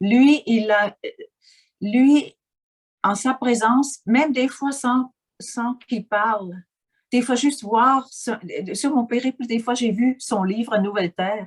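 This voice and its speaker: With a Swiss German accent, a woman speaks in a high pitch at a very slow pace. Her speech has long, frequent pauses, and the sound is dry and close with no echo. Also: ordinary pitch variation. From German-speaking Switzerland. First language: Swiss German (speaking French). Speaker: interviewee, life coach. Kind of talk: interview. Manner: halting, with many fillers and repetitions.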